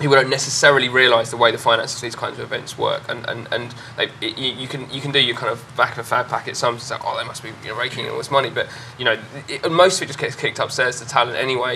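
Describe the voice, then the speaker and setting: A man races through his words at a very fast pace while noticeable background noise fills the clip. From Norfolk, eastern England. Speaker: club and festival promoter. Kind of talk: panel discussion. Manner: halting, many repetitions.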